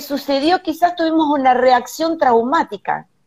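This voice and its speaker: A woman speaks in a high pitch. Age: 50s. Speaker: holistic therapist. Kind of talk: live stream panel discussion. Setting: hotel room, video call.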